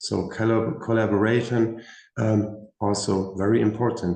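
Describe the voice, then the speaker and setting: In audible room echo, a man with a dark, mellow tone and fairly low pitch speaks with monotone, flat intonation. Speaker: career expert panelist. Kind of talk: panel discussion.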